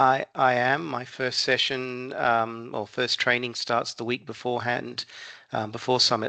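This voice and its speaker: At a moderate pace, a man of medium pitch speaks in a bright, sharp tone, the sound dry and close with no echo. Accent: Australian. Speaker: software consultant and trainer. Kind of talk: interview. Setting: phone call. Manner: halting.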